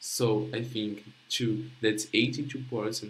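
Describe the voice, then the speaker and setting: The speaker has a Portuguese accent. Audible room echo surrounds the voice. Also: man. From Brazil, Rio de Janeiro. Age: young. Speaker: young researcher presenting project. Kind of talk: conference presentation. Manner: halting.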